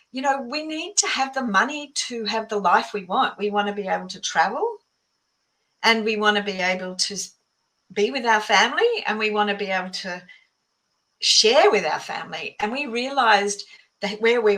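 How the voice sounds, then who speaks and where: A woman with an Australian accent has a fairly high, bright, sharp voice. Her pitch varies in an ordinary way, but her loudness swings widely. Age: 60s. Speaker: author and mindset coach. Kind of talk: podcast interview. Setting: podcast.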